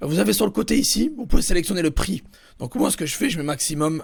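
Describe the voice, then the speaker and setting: A man's put-on character voice, hoarse and raspy, high-pitched with very wide pitch swings, delivered very fast. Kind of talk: tutorial, explaining software settings.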